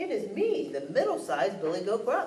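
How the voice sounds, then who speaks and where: Over clear background noise, a woman does a put-on character voice at a fairly quick pace. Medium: read story.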